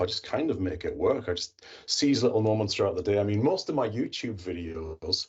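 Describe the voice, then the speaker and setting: The voice belongs to a man with a touch of breathiness. He talks rather quickly. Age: 50s. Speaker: IT professional and tech YouTuber. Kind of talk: podcast interview.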